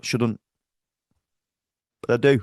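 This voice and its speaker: In a Liverpool accent, a man speaks with an animated tone. The sound is dry and close with no echo, over a quiet background. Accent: Scouse. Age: 40s. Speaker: football fan vlogger. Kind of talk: match reaction rant.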